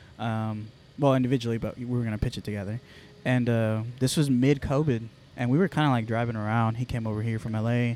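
A dark, mellow voice with an American accent at a very fast pace, on a very clean recording with a silent background. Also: man, medium pitch for a man. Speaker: esports organization owner. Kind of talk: casual chat. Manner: animated.

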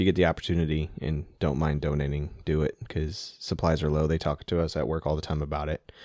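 Speaking quietly at a very fast pace, a man with a very deep, low pitch keeps a monotone, flat intonation on a very clean recording with a silent background. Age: middle-aged. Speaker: podcast co-host. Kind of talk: casual chat. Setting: studio.

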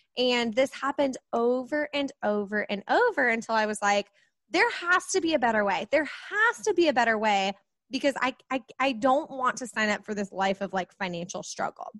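This woman has an American accent and a high pitch. Her tone is animated and energetic, with lively intonation at a moderate pace. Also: dry, close sound with no echo. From US Midwest, Kansas City. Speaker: money coach. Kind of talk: podcast interview. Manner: animated, energetic.

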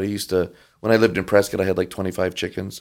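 A speaker with an American accent uses fairly even intonation on a very clean recording with a silent background. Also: man. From Michigan (Detroit). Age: 60s. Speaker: Orthodox priest. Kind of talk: casual chat.

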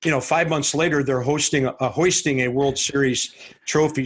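An American accent marks this man's fairly high, somewhat breathy voice. His intonation stays fairly even. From St. Louis, US Midwest. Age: 60s. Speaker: baseball TV play-by-play announcer. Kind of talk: casual interview.

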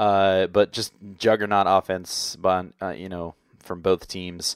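A man speaks with a fairly low voice, recorded dry and close with no echo on a very clean track with a silent background. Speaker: podcast host and sports blogger. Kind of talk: casual sports podcast discussion. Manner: halting, with many filler words.

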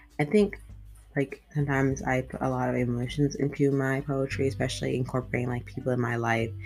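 With music in the background, the speaker talks at a very fast pace with ordinary pitch variation. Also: woman, very deep, low pitch for a woman. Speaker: podcast host and amateur poet. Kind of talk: poetry reading, read aloud from written pages. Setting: home recording, solo podcast. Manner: warm, casual, chatty when introducing.

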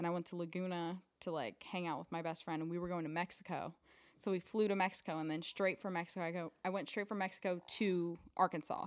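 An unremarkable speaking voice from a woman, fairly low in pitch and fairly even in intonation, at a fairly quick pace over a very clean recording with a silent background. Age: 20s. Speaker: model and actress. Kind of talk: casual chat. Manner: giggly, laughs often.

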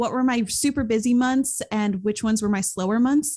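A woman with an American accent has an unremarkable speaking voice, a fairly high pitch, ordinary pitch variation and a moderate pace against a quiet background. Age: 20s. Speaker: YouTuber and student entrepreneur. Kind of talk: podcast interview.

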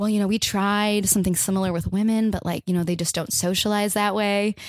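A woman's unremarkable speaking voice with an American accent, medium in pitch and fairly quick, on a very clean recording with a silent background. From Oregon, US (Lake Oswego near Portland). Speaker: comedian. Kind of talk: casual chat.

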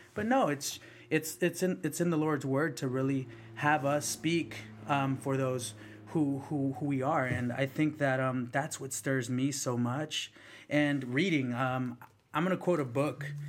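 A man talks at a fairly slow pace in a fairly high pitch. It is an ordinary speaking voice with ordinary pitch variation. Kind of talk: casual conversational interview.

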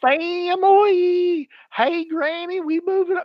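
Pitched extremely high, a put-on character voice in a Southern US accent moves at a fairly slow pace. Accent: fake Southern.

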